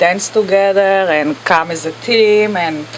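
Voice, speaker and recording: Her pitch varies in an ordinary way as a woman talks. The background noise is noticeable. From Israel. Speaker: real estate agent. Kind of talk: casual interview.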